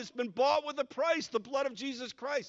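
A man speaks with an American accent. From upstate New York, Utica; New York. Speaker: pastor. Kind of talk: sermon. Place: church. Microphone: handheld.

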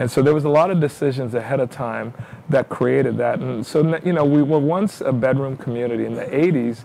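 Light background noise sits behind a man speaking with an American accent. He keeps a moderate pace and ordinary pitch variation. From New York. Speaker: city mayor. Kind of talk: interview. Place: studio.

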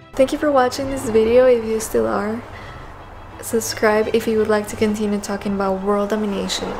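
Faint music plays in the background as a woman talks at a fairly quick pace. Her pitch is fairly high and her intonation fairly even. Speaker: YouTuber and painter; YouTuber. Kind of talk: motivational vlog monologue; casual vlog chat. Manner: casual, laughs often. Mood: playful, warm. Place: home room. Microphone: webcam.

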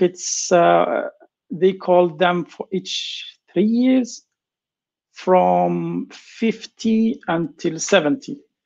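Against a quiet background, a man with a high pitch talks at a very slow pace. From Algeria. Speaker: computer science professor. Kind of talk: lecture. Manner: halting, many fillers and repeats. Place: home room. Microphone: video call.

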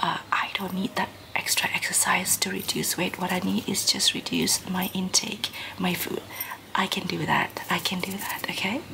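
Whispering at a moderate pace, a soft-spoken woman is heard over light background noise. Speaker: vlogger. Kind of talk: casual vlog chat. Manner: soft-spoken near-whisper to camera. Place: home room. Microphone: phone near.

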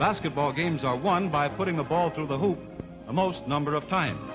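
Clear music sits in the background while a man speaks at a fairly quick pace. His voice is fairly high, with lively intonation. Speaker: newsreel narrator. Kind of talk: newsreel narration. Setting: vintage 1940s film recording. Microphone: old recording.

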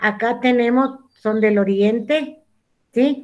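A woman at a very slow pace, with ordinary pitch variation. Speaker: school teacher. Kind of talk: online class lesson. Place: home room. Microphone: video call.

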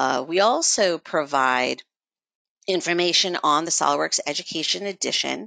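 A woman with a very deep, low pitch speaks in a bright, sharp tone, her lively intonation touched with vocal fry. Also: dry, close sound with no echo, quiet background. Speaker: education outreach team member. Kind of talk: webinar presentation. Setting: online webinar.

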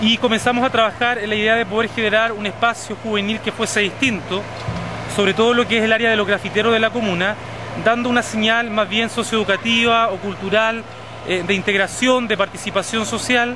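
A man talks at a fairly quick pace in a raised, projected voice with flat, monotone intonation. Music plays behind him, and the sound is dry with no echo. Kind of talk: interview answer. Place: street. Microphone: phone near.

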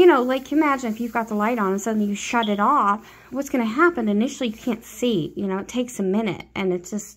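A woman talking at a very fast pace with ordinary pitch variation. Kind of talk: casual vlog chat. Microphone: phone near.

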